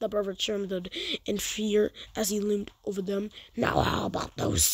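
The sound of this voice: The reading voice here is unforced.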